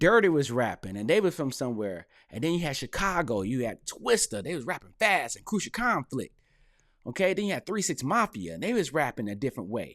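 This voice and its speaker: Speaking with an American accent at a fairly quick clip, a man with a fairly high voice and vocal fry swings his pitch very widely over a very clean recording with a silent background. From North Carolina, US South. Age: middle-aged. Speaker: hip hop commentator and rapper. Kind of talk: casual commentary monologue. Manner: animated.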